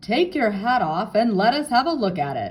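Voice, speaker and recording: A put-on character voice, fairly high in pitch, at a moderate pace with very wide pitch swings. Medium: read story.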